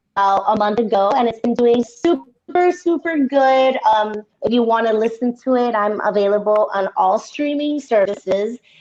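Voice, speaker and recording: With music in the background, a woman talks at a fairly slow pace in a fairly high pitch, using ordinary pitch variation. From Miami. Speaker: Latin pop singer-songwriter. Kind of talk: casual chat. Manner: animated.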